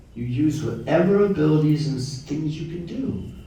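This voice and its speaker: Amid audible room echo and noticeable background noise, a man with an American accent speaks fairly slowly at a fairly high pitch with lively intonation. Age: 70s. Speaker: Hare Krishna devotee and kirtan leader. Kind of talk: devotional talk to temple audience. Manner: animated.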